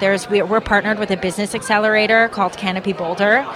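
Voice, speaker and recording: A woman speaks in a fairly high pitch, her intonation monotone and flat, with noticeable noise in the background. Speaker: investment group representative. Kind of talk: interview. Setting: conference floor.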